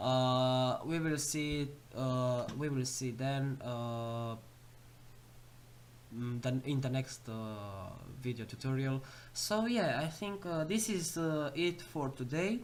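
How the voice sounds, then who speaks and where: Speaking with a non-native accent at a very slow pace, this voice leaves long, frequent pauses. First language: not English. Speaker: programming tutorial youtuber. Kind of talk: tutorial. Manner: halting, many fillers.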